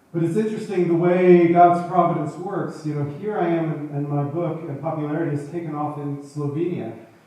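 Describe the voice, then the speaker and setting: Someone with an American accent talks at a fairly quick pace with hardly any pauses and fairly even intonation. The recording carries audible room echo and noticeable background noise. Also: man, high pitch for a man. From USA. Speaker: author. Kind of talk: interview. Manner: halting.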